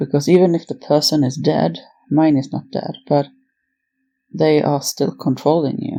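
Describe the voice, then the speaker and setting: Long, frequent pauses break up speech at a moderate pace, its dark, mellow tone and fairly even intonation. The recording is very clean with a silent background. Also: woman, very deep, low pitch for a woman. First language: not English (English is third language). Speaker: mental health vlogger. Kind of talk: personal monologue. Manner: halting.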